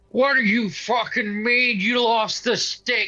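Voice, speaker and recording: Over music in the background, a man shouts in a put-on character voice, raised and projected, at an extremely high pitch, a fairly slow pace and with fairly even intonation. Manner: angry, shouting.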